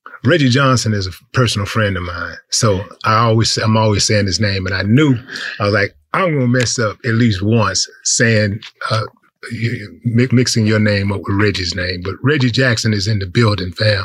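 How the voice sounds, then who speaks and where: A man speaks in a normal speaking voice at a moderate pace. His pitch variation is ordinary. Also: fairly low pitch for a man. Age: 50s. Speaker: podcast host. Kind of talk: interview conversation.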